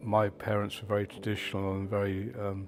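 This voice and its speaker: Music plays in the background as a man speaks. His fairly low voice has monotone, flat intonation. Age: 70s. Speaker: resident. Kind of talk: documentary interview.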